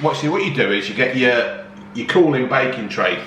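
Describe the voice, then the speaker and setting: A man talks at a moderate pace. Light background noise and audible room echo can be heard. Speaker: home cooking vlogger. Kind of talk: casual vlog chat. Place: home room. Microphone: phone near.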